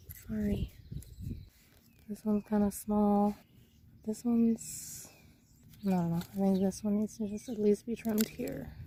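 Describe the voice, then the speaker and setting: Soft-spoken and somewhat breathy, a woman talks at a fairly slow pace with long, frequent pauses. Her medium-pitched voice has a dark, mellow tone and fairly even intonation. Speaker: gardening channel host. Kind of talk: gardening tutorial talk to camera.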